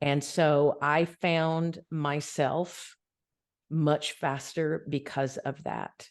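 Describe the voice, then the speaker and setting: Against a quiet background, a woman with a very deep, low pitch speaks at a very slow pace in a monotone, flat intonation. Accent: Southern US. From US South. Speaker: spiritual podcast co-host. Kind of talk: casual conversation.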